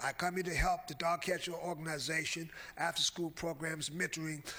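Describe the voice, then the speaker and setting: There is noticeable background noise. A man with an American accent speaks at a moderate pace in a fairly high pitch. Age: 60s. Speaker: public commenter at county meeting. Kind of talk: public comment speech. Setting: county commission meeting. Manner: halting, many fillers.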